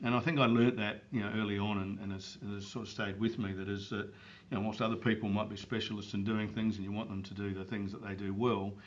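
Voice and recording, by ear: A man talks at a fast pace in a fairly low pitch with little pitch movement, and audible room echo surrounds him.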